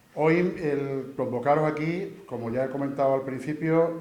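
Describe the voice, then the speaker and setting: Noticeable background noise and audible room echo accompany a man speaking at medium pitch, at a fairly slow pace, with fairly even intonation. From Andalusia, Spain (Huelva province, raised in Seville). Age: 60s. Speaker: engineer and candidate for brotherhood council. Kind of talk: candidacy presentation speech. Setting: presentation event with audience. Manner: halting, many repetitions and fillers.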